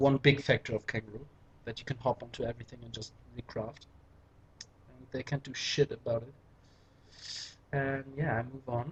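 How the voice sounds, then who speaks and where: Long, frequent pauses break up speech delivered with a German accent. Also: moderate pace. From Germany. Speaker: gaming commentator. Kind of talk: gameplay commentary. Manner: casual, hesitant with fillers. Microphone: poor microphone.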